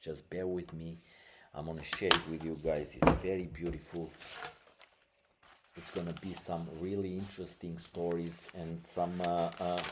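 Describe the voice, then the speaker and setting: Against noticeable background noise, a man with a non-native accent and very deep, low pitch speaks at a moderate pace, with long, frequent pauses and big swings in loudness. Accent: foreign accent, non-native English. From Albania. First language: Albanian. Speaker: podcast host. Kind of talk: casual podcast monologue. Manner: halting, many fillers; animated.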